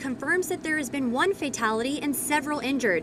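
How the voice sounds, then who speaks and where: Someone with an American accent speaks at a fairly quick pace against noticeable background noise. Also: woman. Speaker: television reporter and anchor. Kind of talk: field news report voiceover.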